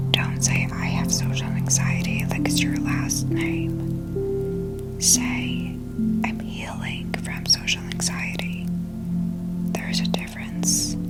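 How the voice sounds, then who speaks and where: Someone whispers at a very slow pace in a calm tone over music in the background. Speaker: meditation guide. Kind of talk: guided ASMR meditation. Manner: whispered; soft-spoken, calm.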